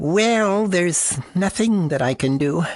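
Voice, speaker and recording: A man's put-on character voice, high in pitch, with lively intonation and a fairly slow pace. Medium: short film. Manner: subdued, hesitant.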